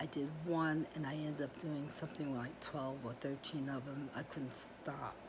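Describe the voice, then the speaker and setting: The woman's intonation stays fairly even. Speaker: crafting YouTuber. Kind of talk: casual vlog chat. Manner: fast; chatty, with fillers.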